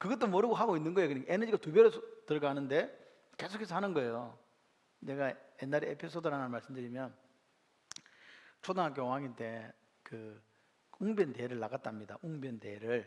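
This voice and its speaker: A man's fairly high voice at a fairly quick pace, with very wide pitch swings, big swings in loudness and long, frequent pauses. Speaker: pastor. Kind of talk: bible class teaching. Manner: fast.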